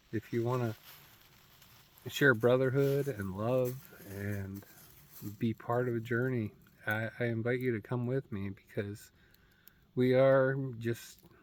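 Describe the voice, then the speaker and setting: The speaker goes at a fairly slow pace with long, frequent pauses and a fairly even intonation. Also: man, medium pitch for a man. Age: 60s. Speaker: military veteran, self-help vlogger. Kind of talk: casual reflective vlog monologue. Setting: outdoors in nature. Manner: halting, repetitive stumbling speech.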